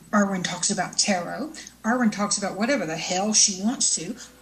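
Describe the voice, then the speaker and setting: With noticeable background noise behind her, a woman speaks in a Southern US accent at a medium pitch with lively intonation. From US South. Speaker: internet show host, tarot reader and fiction author. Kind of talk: casual live show monologue. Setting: live online show with chat room.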